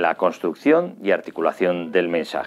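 Faint music plays in the background as a man speaks at a fairly slow pace. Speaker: journalist, communication teacher, radio and TV presenter. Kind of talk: educational course introduction to camera. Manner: polished, articulate, professional broadcaster delivery. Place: home room. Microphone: studio mic.

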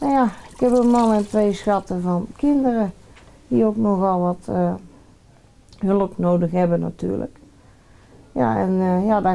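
A woman's dark, mellow tone at a medium pitch and a fairly slow pace. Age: 40s. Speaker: cancer patient. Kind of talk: interview.

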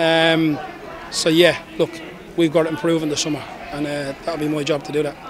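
Over faint background noise that includes faint crowd noise, a man with a fairly high pitch speaks in a monotone, flat intonation. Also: moderate pace.

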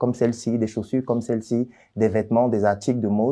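Over a quiet background, a man talks at a fairly quick pace in a dark, mellow tone. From Cameroon, Yaoundé; Cameroon. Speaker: doctor and entrepreneur; interviewee. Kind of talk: interview. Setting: office. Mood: calm, explaining, defending himself. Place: studio. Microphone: lapel.

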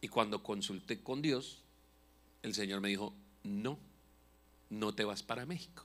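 Fairly low, animated male voice at a fairly slow pace, with ordinary pitch variation and long, frequent pauses. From Colombia, Bucaramanga; Colombia. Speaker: pastor and comedian; pastor, comedian. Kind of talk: sermon. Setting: church. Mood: humorous, passionate. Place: church. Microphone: handheld.

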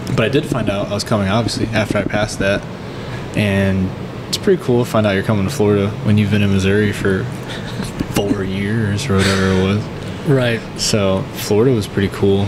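With ordinary pitch variation, a man talks at a fairly quick pace amid noticeable background noise. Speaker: podcast guest. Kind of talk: interview answer. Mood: relaxed, laughing at times. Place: cafe. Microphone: studio mic.

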